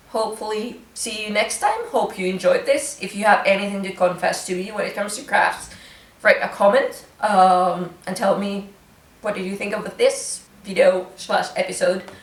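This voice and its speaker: A woman with a Finnish accent at a moderate pace, big swings in loudness, audible room echo and noticeable background noise. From Finland. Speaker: craft vlogger. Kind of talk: casual vlog chat. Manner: casual, hesitant with fillers.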